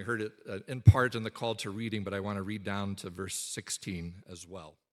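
A man with an ordinary speaking voice and a fairly low pitch speaks at a fairly quick pace with fairly even intonation on a very clean recording with a silent background. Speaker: pastor. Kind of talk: sermon. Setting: church.

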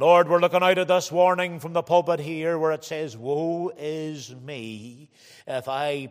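A plain, everyday voice moves at a fairly slow pace in a very clean recording with a silent background. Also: man. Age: 40s. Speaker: preacher. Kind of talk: sermon. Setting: church.

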